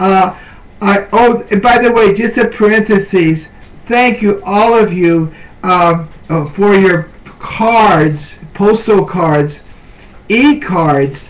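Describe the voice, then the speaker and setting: Over noticeable background noise, a man with a high-pitched voice speaks at a very slow pace. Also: ordinary pitch variation, very even loudness. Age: 70s. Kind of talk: devotional talk. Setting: webcam at home. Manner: halting.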